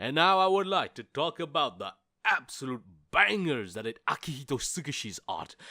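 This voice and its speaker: A man speaks at a moderate pace in a fairly high, bright and sharp voice with vocal fry and very wide pitch swings. The recording is very clean, with a silent background. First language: not English. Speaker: video essayist. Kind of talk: video essay narration.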